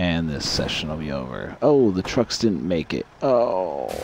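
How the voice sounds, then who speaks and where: Quiet and fairly slow, a man with a very deep, low pitch speaks with lively intonation. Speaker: gaming streamer. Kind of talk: gameplay commentary.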